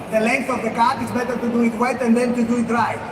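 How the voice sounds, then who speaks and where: A man with an extremely high-pitched voice. Noticeable background noise and audible room echo surround him. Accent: Greek. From Greece. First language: Greek. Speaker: hairdresser. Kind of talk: live demonstration. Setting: stage with audience.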